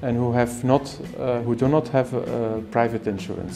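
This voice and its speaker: Music behind a man speaking at a moderate tempo. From Belgium. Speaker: ophthalmologist and eye surgeon. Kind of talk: interview answer. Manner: soft-spoken.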